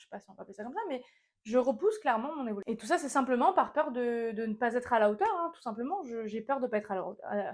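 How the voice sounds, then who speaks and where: A woman's high-pitched, very fast speech with lively intonation and big swings in loudness. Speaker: small business owner and vlogger. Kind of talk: casual vlog monologue. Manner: halting, stumbling over words.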